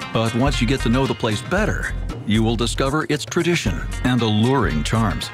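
A man at a fairly quick pace and very even loudness, with music in the background. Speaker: voice actor. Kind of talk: travel documentary narration.

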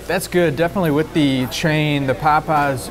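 A man speaks with ordinary rises and falls in pitch while noticeable background noise carries on. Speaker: food reviewer. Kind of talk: casual food review commentary. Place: cafe. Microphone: lapel.

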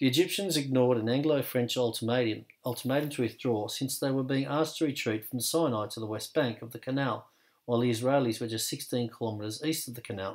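The speaker has an ordinary speaking voice. The pace is fairly quick, with ordinary pitch variation. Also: man. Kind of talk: history documentary narration, scripted and read aloud. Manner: formal, measured, even-toned; steady, authoritative, fact-by-fact delivery.

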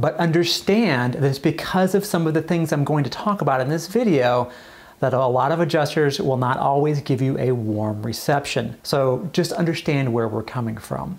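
A man with a somewhat breathy voice, lively intonation and a moderate pace. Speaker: insurance adjuster educator. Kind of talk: educational commentary to camera. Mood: sarcastic, animated. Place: office.

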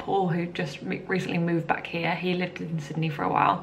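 Over light background noise, a woman with an English accent talks at a fairly quick pace in a fairly low pitch. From England. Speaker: vlogger. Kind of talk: casual vlog monologue. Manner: chatty, casual. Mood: relaxed, cheerful. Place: home room. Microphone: phone near.

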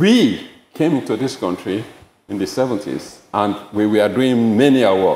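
With audible room echo, the dark, mellow voice moves at a fairly slow pace with ordinary pitch variation. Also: man, medium pitch for a man. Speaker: bereaved father; speaker. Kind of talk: public talk. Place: hall. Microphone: podium.

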